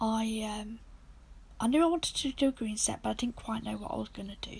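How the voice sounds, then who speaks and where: The delivery comes at a moderate pace. It carries a British accent. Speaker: nail art creator. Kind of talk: tutorial. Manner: casual, chatty.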